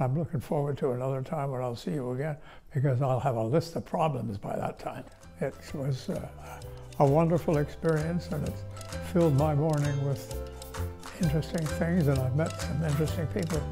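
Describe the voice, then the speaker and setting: Music plays behind a man speaking at a fairly quick pace. His voice makes very wide pitch swings. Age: 80s+. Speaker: retirement home resident. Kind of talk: interview answer. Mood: warm, appreciative. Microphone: lapel.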